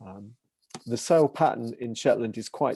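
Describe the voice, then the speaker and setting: This man's voice has a dark, mellow tone. Its pitch sits in the medium range. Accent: English. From England. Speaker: maritime heritage researcher. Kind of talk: online talk Q&A.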